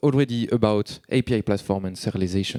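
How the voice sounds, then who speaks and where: A man talks with a French accent. The recording is very clean and silent in the background, with a dry, close sound and no echo. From France. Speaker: software developer, conference speaker. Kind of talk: conference talk. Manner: fast; halting.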